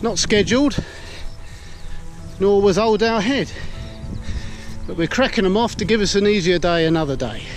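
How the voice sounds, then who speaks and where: A high-pitched man's voice, dry and without echo, over faint background music. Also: ordinary pitch variation, moderate pace. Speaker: vlogger. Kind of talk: casual vlog chat. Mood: cheerful, joking. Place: open country. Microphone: phone near.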